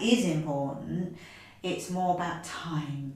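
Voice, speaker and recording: Noticeable background noise sits behind a woman with a fairly low pitch. She speaks at a fairly slow pace with fairly even intonation. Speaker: fitness coach, podcast host. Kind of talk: podcast interview.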